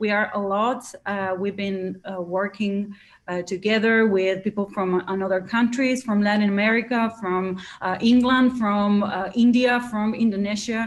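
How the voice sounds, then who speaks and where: This woman speaks with an Argentine accent and fairly even intonation. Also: medium pitch for a woman, moderate pace. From Argentina, Buenos Aires. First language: Spanish. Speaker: live coding musician. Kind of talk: interview. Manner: halting.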